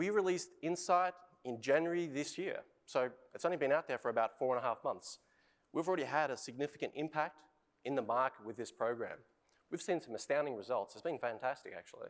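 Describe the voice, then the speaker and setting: In an Australian accent, the speaker talks at a very fast pace with lively intonation. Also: man, fairly high pitch for a man. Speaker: industry innovation lead. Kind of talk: conference presentation.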